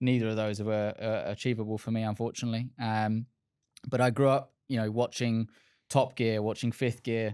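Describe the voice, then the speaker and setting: In an Essex accent, a man talks at a moderate pace and medium pitch with monotone, flat intonation, captured on a very clean recording with a silent background. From England, Essex. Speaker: car sales director. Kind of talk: podcast interview. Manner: hesitant, many filler words.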